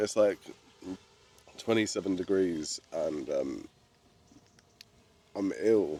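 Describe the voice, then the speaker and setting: With music in the background, the man delivers his words at a very slow pace. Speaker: fishing vlogger. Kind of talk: casual vlog talk.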